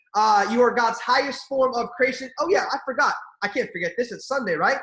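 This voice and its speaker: An animated man talks at a fairly quick pace with ordinary pitch variation. His voice is extremely high and has a bright, sharp tone. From Armenian heritage. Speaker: network marketing leader. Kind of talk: motivational training call. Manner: fast.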